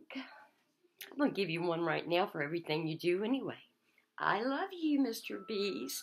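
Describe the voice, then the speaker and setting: Vocal fry runs through a woman's voice as her pitch swings very widely. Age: old. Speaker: former police officer. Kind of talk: casual talk to camera. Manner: upbeat. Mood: warm, hopeful, pleading. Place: kitchen. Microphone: webcam.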